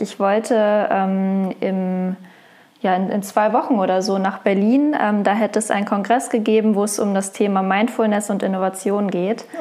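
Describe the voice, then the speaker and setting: A woman of medium pitch speaks in a dark, mellow tone at a moderate pace with fairly even intonation. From Lower Saxony, Germany (Wolfsburg). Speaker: HR innovation specialist. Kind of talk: interview. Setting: in person.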